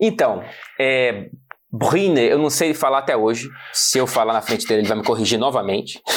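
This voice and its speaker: A man talks at a moderate pace and medium pitch. His loudness stays very even while his intonation is lively. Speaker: football journalist. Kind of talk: casual explainer chat.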